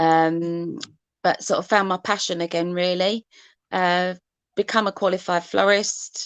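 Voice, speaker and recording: A woman with an Essex accent, fairly low in pitch and fairly even in intonation, in a dry, close sound with no echo and a quiet background. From Essex, England. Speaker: artist, face painter. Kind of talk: casual video chat interview. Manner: hesitant, many fillers.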